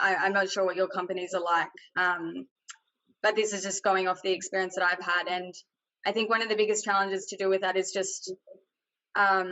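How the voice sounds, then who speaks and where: With an Australian accent, a woman of medium pitch talks at a fairly quick pace with fairly even intonation and long, frequent pauses. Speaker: tech industry panelist. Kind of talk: panel discussion. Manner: loud.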